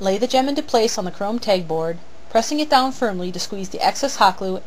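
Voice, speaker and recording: A woman's medium-pitched voice with lively intonation, at a fairly quick pace. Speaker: prop and armor maker. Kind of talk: tutorial narration. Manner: stilted, halting read from cue cards.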